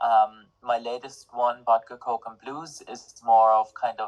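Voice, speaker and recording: A man's medium-pitched voice in an Irish accent, at a fairly slow pace. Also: dry, close sound with no echo. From Ireland. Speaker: singer-songwriter and music student. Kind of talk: interview.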